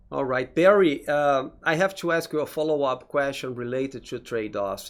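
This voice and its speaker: With a Portuguese accent, a man speaks at a fairly high pitch and moderate pace with ordinary pitch variation. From Brazil. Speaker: interviewer, academic lecturer. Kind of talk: interview.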